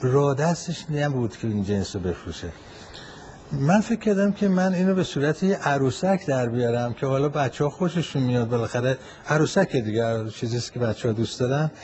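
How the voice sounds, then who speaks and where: At a fairly quick pace, a man with a medium pitch talks with very wide pitch swings. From Tehran, Iran. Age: 80s+. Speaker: retired manufacturer. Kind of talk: recorded interview answers. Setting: voice messages. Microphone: phone voice message recording.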